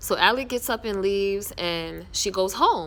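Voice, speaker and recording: With an animated tone, a woman of medium pitch speaks with ordinary pitch variation. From New York. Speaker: TV series reviewer, vlogger. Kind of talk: casual show recap. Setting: outdoors. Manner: loud.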